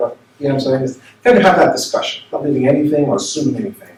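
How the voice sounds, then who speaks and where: Over noticeable background noise, a man speaks in an American accent at medium pitch with very wide pitch swings. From New York / New Jersey area. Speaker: minister. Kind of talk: seminar talk. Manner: conversational, with many fillers.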